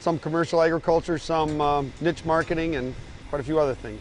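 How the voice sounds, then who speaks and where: Music plays in the background as a man talks at a fairly quick pace. His pitch is fairly high and his intonation fairly even. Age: 60s. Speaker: dairy farmer. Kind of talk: documentary interview.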